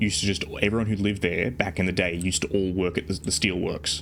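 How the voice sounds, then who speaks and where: A man's fairly low voice with an Australian accent. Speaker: VTuber streamer. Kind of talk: casual chat. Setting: live stream while playing a truck game. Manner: halting, many repetitions.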